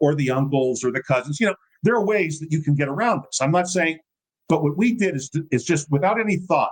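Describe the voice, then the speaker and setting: Speaking very fast, a man uses a fairly high pitch. His intonation is lively and his tone animated. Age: 60s. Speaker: political movement founder and writer. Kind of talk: casual interview conversation.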